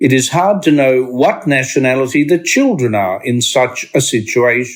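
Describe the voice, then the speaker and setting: Speaking with an Australian accent, a man uses a fairly high pitch and lively intonation at a fairly slow pace. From Australia (Sydney). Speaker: discussion group presenter. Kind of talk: reading aloud.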